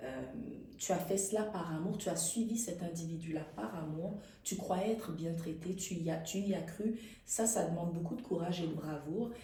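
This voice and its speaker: Speaking at a moderate pace, a woman has a fairly low voice with ordinary pitch variation. There is noticeable background noise and audible room echo. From Quebec (Montreal), Haitian family. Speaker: actress. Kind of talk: interview. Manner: animated.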